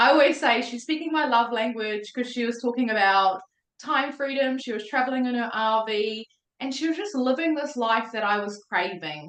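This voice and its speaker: Delivered in a New Zealand accent, the speech moves at a moderate pace with ordinary pitch variation. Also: woman, high pitch for a woman. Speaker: mindset coach. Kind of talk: testimony. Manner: animated.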